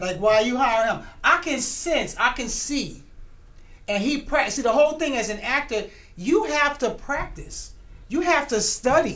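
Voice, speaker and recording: In a room with audible echo, a woman speaks loudly at a fairly slow pace, her high-pitched voice animated, with lively intonation. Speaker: writer and producer of a TV series. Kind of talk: casual interview chat.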